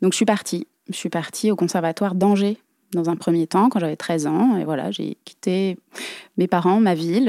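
A woman's medium-pitched voice with a dark, mellow tone, fairly even intonation and a moderate pace, in a very clean recording with a silent background and a dry, close sound with no echo. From Brittany, France (Dinan, Côtes d'Armor). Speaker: dancer and choreographer. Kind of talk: interview.

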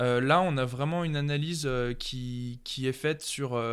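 A fairly slow, fairly even delivery on a very clean recording with a silent background. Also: man. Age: 30s. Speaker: musician. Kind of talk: casual chat. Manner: halting.

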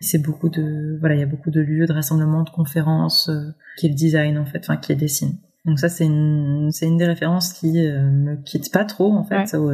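This woman speaks with a very deep, low pitch and a somewhat breathy quality. Her intonation stays fairly even at a moderate pace. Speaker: set designer. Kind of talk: interview. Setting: remote recording. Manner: halting, many fillers and repetitions. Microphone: remote recording, sound quality sometimes poorer.

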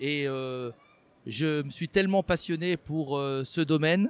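A man speaks in a normal speaking voice, pitched fairly high. The sound is dry and close with no echo, and the recording is very clean over a silent background. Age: 50s. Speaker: robotics maker. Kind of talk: interview monologue.

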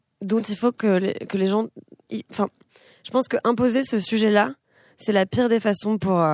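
With ordinary pitch variation, a woman delivers her words at a moderate pace. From France. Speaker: singer-songwriter. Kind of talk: casual interview. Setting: radio studio with live audience.

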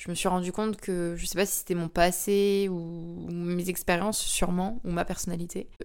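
A woman speaks at a fairly slow pace and medium pitch. Her intonation is monotone and flat. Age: 20s. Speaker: podcaster. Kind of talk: personal monologue. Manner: hesitant, many fillers.

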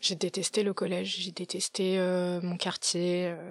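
Very slowly, a woman speaks at a medium pitch. The recording is very clean with a silent background, and the sound is dry and close with no echo. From Paris, France. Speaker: podcaster and business operations manager. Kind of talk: casual interview chat. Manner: halting, many fillers and restarts.

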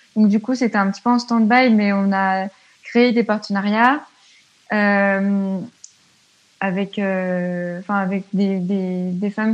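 Her medium-pitched voice monotone and flat, a woman speaks at a very slow pace with long, frequent pauses. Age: 20s. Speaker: student and feminist activist. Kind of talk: casual interview. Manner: hesitant, many fillers.

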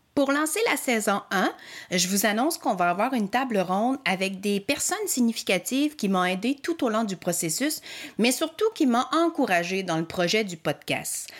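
A woman's fairly high, enthusiastic voice with a strong Magdalen Islands accent, very wide pitch swings and a moderate pace. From Quebec, Magdalen Islands. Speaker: podcast host and helping-relationship practitioner. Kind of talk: podcast introduction monologue. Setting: home studio. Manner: enthusiastic with frequent filler hesitations.

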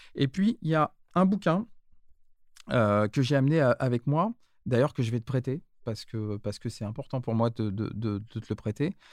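Very wide pitch swings at a moderate pace, broken by long, frequent pauses. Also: man. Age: 50s. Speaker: start-up founder, former business school director. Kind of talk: casual interview.

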